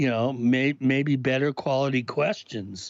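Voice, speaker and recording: A man speaks at a fairly slow pace. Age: 60s. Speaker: paranormal researcher and author. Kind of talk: casual chat. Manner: halting, many fillers and restarts.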